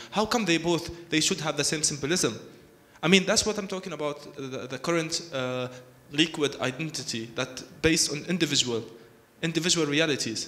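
His pitch shifts about as usual. The man talks rather briskly. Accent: Arabic. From Palestine. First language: Arabic. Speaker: architect; panel artist. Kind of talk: panel talk. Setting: stage with audience. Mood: earnest, argumentative. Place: hall. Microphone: handheld.

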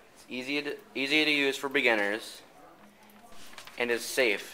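A man speaks at a moderate pace with fairly even intonation, and there is noticeable background noise. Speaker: student presenting a class project. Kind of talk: infomercial product pitch.

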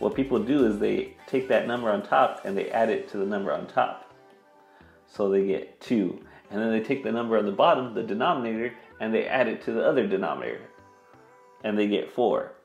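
A man talks at a fairly quick pace. Audible room echo and faint background music accompany him. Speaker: math teacher. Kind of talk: tutorial. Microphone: lapel.

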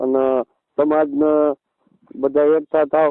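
This man's voice sits at a fairly high pitch. His intonation stays monotone and flat. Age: 40s. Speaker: community elder. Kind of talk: phone call.

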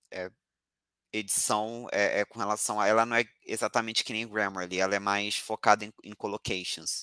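A man's fairly low, bright, sharp voice at a moderate pace, monotone and flat in intonation, with big swings in loudness, on a dry recording with no echo and a quiet background. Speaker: doctoral student, event moderator; invited professor. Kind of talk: webinar moderation. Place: home room. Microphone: earbuds.

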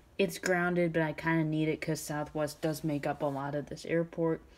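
The delivery is monotone with flat intonation, moving at a moderate pace. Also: woman. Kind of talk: casual tour narration. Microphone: phone near.

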